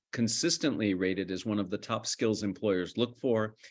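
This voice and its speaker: Speaking at a fairly quick pace with an American accent, a man uses an ordinary speaking voice with fairly low pitch over a quiet background. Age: middle-aged. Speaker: communication lecturer. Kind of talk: interview.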